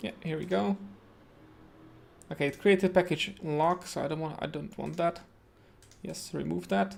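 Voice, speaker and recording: Pausing often and at length, a man speaks at a moderate pace and a fairly high pitch with very wide pitch swings. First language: Czech. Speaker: web developer streamer. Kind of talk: live coding tutorial. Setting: home. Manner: hesitant, many fillers.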